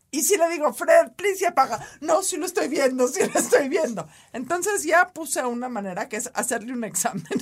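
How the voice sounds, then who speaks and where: A woman with a Mexican accent and a high pitch speaks at a moderate pace with very wide pitch swings and hardly any pauses. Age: 40s. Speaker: podcast co-host. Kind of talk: casual chat. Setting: studio.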